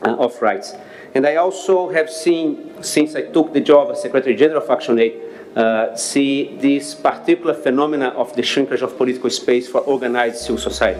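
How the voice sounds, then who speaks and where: Music plays in the background. A man with a Brazilian accent talks at a fairly quick pace. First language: Portuguese. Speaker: NGO leader. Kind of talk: speech at public discussion. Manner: hesitant, many fillers.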